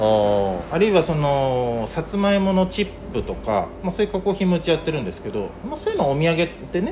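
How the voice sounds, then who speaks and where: A man talks at a fairly quick pace with hardly any pauses, his high voice moving in very wide pitch swings. Noticeable background noise runs underneath. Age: 40s. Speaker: market vegetable wholesaler. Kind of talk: interview. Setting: workspace at a market.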